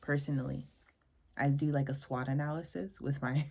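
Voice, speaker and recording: Her voice is somewhat breathy, with a dark, mellow tone and a very deep, low pitch for a woman. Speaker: podcast host. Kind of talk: mini-lesson monologue. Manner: fast; casual, rambling.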